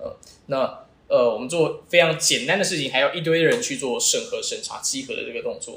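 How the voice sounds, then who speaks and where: A man talks at a fairly quick pace with big swings in loudness, and the room echo is audible. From Taiwan. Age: 20s. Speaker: startup founder. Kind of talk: interview.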